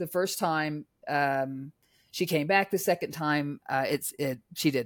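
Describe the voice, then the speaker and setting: In a very clean recording with a silent background and a dry, close sound with no echo, a woman speaks at a very slow pace in a very deep, low voice with ordinary pitch variation. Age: 50s. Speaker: author and former film marketing executive. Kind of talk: casual interview chat. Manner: chatty, rambling, upbeat.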